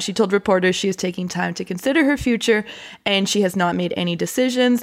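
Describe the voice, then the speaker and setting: A woman's ordinary speaking voice at medium pitch, fairly quick and with lively intonation, on a very clean recording with a silent background. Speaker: podcast host. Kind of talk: casual banter, political podcast.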